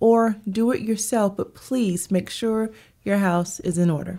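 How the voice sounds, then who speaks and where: Her voice has a dark, mellow tone and a fairly high pitch. The woman speaks with a Southern US accent. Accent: Southern US (Georgia). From US South, Augusta, Georgia. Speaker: HR consultant, business owner. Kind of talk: casual interview.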